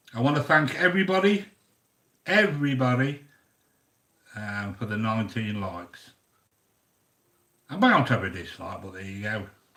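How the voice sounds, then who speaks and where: A man with a British accent and a bright, sharp tone speaks with very wide pitch swings, big swings in loudness, and long, frequent pauses. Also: medium pitch for a man, moderate pace. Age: 60s. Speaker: YouTube cooking host. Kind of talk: casual live-stream chat reading viewer comments. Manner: chatty, hesitant with fillers.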